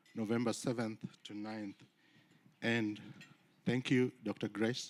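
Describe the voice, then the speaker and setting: A man with a Kenyan accent at a fairly slow pace. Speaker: university research compliance officer. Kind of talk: conference presentation. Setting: conference stage with audience.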